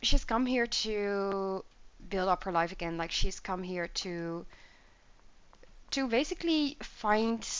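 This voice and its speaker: In a Dutch accent, a woman speaks at a very slow pace with ordinary pitch variation. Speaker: gaming YouTuber. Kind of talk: gameplay commentary. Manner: casual, filler-heavy.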